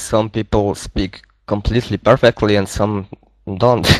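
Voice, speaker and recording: With a Polish accent, a man speaks at a moderate pace in a dry, close sound with no echo. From Poland. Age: 20s. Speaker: gaming clan member. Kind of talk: casual group voice chat. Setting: online voice chat.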